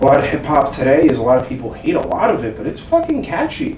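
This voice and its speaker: With a New York accent, a man speaks at a fairly quick pace amid noticeable background noise and audible room echo. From Staten Island, New York. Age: 20s. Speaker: podcast host. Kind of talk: casual chat.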